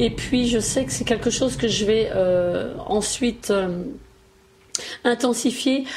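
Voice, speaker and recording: Against noticeable background noise, a woman talks at a fairly slow pace. Her intonation stays fairly even. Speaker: beauty YouTuber. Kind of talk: makeup tutorial. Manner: hesitant, many fillers.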